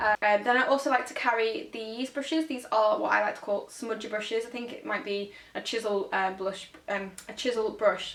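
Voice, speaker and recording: Over noticeable background noise, a woman with a northern English accent speaks. Her pace is fairly quick and her pitch fairly high. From northern England. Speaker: make-up artist. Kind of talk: tutorial. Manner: fast; casual, hesitant with many ums.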